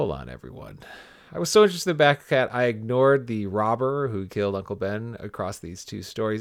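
At a moderate pace, a man with a medium pitch talks with lively intonation. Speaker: music teacher. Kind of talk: casual chat.

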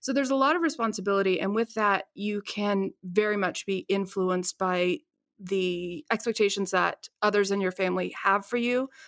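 Recorded very cleanly against a silent background with a dry, close sound and no echo, a woman speaks in an ordinary speaking voice with an American accent, at a fairly quick pace with ordinary pitch variation. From West Virginia. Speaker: trade analyst with a theater degree. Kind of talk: casual interview chat.

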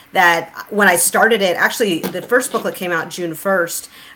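Over noticeable background noise, a woman of medium pitch speaks at a moderate pace with ordinary pitch variation. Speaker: podcast host and author. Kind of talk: casual discussion on theology. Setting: online livestream. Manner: laughs often.

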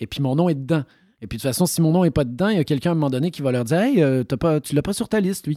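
Talking at a very fast pace, a man with a fairly high pitch, a dark, mellow tone and lively intonation is heard in a dry, close sound with no echo on a very clean recording with a silent background. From Quebec. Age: 40s. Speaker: actor. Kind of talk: interview.

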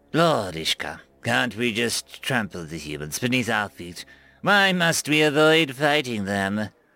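A man uses a put-on character voice of medium pitch with very wide pitch swings, at a fairly slow pace. The recording is very clean, with a silent background. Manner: angry, impatient.

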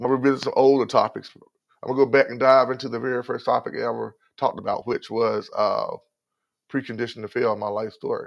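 Speaking very fast, a man talks in a Southern US accent. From North Carolina. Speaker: podcast host. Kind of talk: motivational talk. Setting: live stream. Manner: faster than usual. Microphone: new headset.

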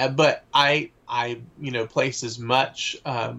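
A man with an American accent speaks in a bright, sharp tone with vocal fry and fairly even intonation. The background is quiet. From US South, Atlanta area. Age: 30s. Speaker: author and festival organizer. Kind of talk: casual interview.

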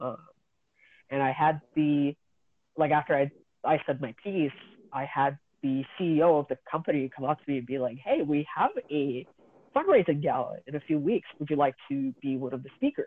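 A man speaks at a moderate pace. He takes long pauses, and often. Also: fairly even intonation. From Kazakhstan, immigrated to Canada as a child. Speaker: former foster youth, advocate. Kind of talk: personal testimony in interview.

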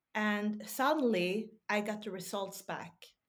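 A woman's medium-pitched voice with a Swedish accent. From Sweden. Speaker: podcaster and health advocate. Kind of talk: casual interview chat. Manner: halting at times, searching for words.

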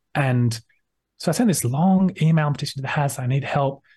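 A man speaks in an Australian accent at a medium pitch. His voice is somewhat breathy, with a dark, mellow tone. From Sydney, Australia. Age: 30s. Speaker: ex-Scientologist academic. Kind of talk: casual interview.

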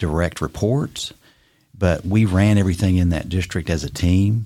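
With a Tennessee accent, a man speaks at a moderate pace in a very deep, low pitch and a dark, mellow tone. His intonation is fairly even, and the recording is very clean with a silent background. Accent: US Southern (Tennessee). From Tennessee (Bristol, East Tennessee). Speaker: retired business executive and boat captain. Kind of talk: casual interview.

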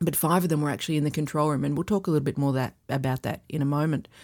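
In a very clean recording with a silent background, a woman speaks in a very deep, low voice with a dark, mellow tone. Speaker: process safety expert and co-host. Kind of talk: casual expert discussion, podcast conversation.

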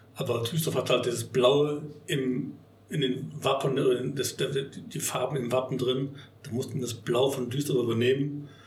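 A man speaks at a fairly slow pace with fairly even intonation. There's audible room echo and noticeable background noise. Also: medium pitch for a man. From Bonn, Rhineland, Germany. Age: 50s. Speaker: party venue owner. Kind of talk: casual interview. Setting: party hall venue.

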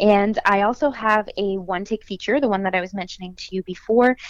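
In a Canadian accent, a woman with an unremarkable speaking voice talks with lively intonation. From Quebec, Canada (south of Montreal). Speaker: actress. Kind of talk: interview.

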